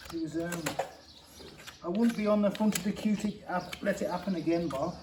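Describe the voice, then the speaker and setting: A man with a high pitch at a fairly quick pace, amid noticeable background noise. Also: fairly even intonation. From Shropshire, West Midlands England. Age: 40s. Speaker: farrier. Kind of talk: casual interview.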